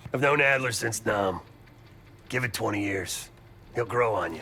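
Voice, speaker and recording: A raspy, put-on character voice speaks at a moderate pace over clear background noise. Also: man, medium pitch for a man. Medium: video game. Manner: gruff, sardonic.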